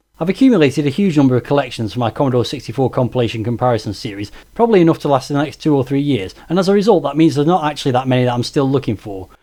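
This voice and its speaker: A man with a Stoke accent talks at a very fast pace in a dark, mellow tone with lively intonation, on a very clean recording with a silent background. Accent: Stoke (Potteries). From Stoke-on-Trent, England. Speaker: retro game YouTuber. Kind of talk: Q&A video monologue.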